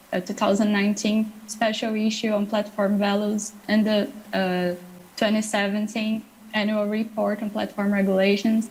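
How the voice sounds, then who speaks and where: Over noticeable background noise, a woman with a fairly high pitch speaks at a moderate pace in a monotone, flat intonation with very even loudness. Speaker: dynamic coalition representative. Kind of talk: panel discussion.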